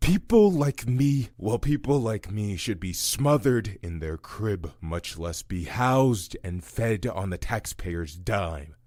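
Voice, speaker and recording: In a put-on character voice, a man speaks at a fairly slow pace with very wide pitch swings. The recording is very clean, with a silent background. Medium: audio drama. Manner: weary, bitter.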